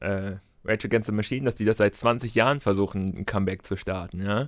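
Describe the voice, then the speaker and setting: On a very clean recording with a silent background, a man speaks. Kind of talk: comedic rant. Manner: sarcastic, animated.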